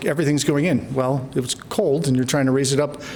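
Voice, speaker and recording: A fairly high-pitched man amid noticeable background noise and audible room echo. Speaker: energy engineer presenting at symposium. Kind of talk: conference presentation. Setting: conference stage. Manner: fast.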